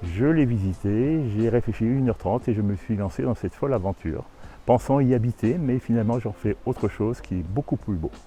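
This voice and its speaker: A somewhat breathy man at medium pitch in a dark, mellow tone, fairly quick pace, ordinary pitch variation. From Burgundy, France. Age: 60s. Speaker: abbey owner. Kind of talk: interview.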